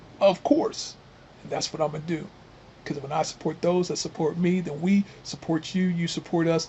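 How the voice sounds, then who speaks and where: Someone with an American accent talks at a fairly quick pace over noticeable background noise. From US Midwest. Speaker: gardening YouTuber. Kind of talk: casual talk to camera. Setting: outdoors in cold weather. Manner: relaxed.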